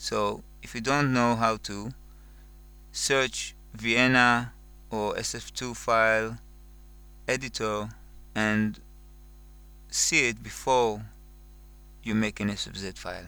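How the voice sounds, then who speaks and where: A man speaks very slowly with a non-native accent, leaving long, frequent pauses. His loudness swings widely. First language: not English. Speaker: music software tutorial maker. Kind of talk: tutorial. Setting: screen recording. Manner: slow, careful; hesitant, with fillers.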